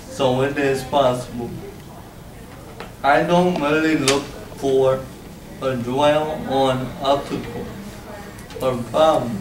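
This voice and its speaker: The speech moves at a very slow pace, broken by long, frequent pauses. Its loudness stays very even, with audible room echo. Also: man, medium pitch for a man. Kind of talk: presentation.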